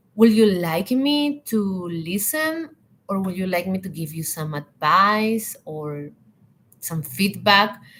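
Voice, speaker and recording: A woman with a Spanish accent speaks very slowly at a medium pitch, her loudness swinging widely and her pitch ranging very widely. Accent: non-native English, Spanish-speaking. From Latin America. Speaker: hospitality and leadership coach. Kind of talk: live online talk.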